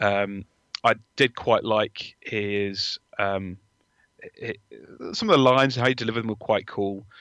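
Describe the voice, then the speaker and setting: A man talking at a fairly slow pace in a fairly low voice, with fairly even intonation and long, frequent pauses. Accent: English. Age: 30s. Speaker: film fan. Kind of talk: casual chat.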